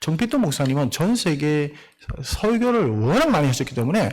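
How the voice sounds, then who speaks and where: Very wide pitch swings mark this man's fairly high voice as he talks at a moderate pace. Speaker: missionary pastor. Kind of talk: sermon. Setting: church.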